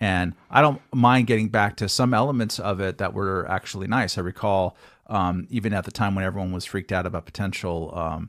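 With a Californian accent and a fairly low pitch, a man speaks in a very clean recording with a silent background. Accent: Californian American. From Long Beach, California. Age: 50s. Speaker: journalist and political pundit. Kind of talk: interview on talk radio. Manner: halting, many fillers.

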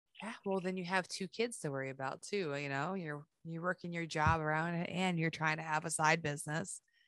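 A woman with a normal speaking voice and fairly low pitch talks at a fairly quick pace with fairly even intonation and hardly any pauses. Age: 40s. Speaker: podcast host. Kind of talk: casual chat.

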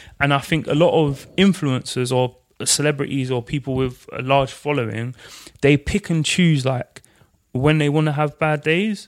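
In an ordinary speaking voice, a man with a fairly high pitch and ordinary pitch variation talks at a moderate pace. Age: 30s. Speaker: co-founder of a men's conversation platform. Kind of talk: casual interview conversation.

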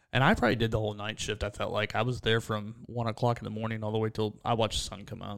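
A man speaks at a very fast pace with hardly any pauses, on a very clean recording with a silent background. His medium pitch stays in a monotone, flat intonation. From Pennsylvania, Williams Grove area. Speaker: NASCAR spotter. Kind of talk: casual chat. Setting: studio.

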